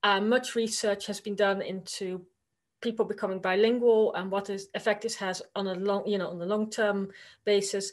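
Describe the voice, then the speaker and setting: Here a woman with a Dutch accent talks at medium pitch and a moderate pace. Her intonation is monotone and flat against a quiet background. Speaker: university lecturer. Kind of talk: conference presentation. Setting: virtual conference.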